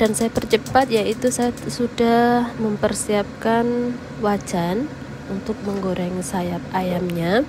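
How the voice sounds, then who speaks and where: Noticeable background noise runs under a woman's fairly high voice. She speaks at a very slow pace with ordinary pitch variation. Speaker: cooking vlogger, migrant domestic worker. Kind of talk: cooking tutorial. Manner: casual, chatty.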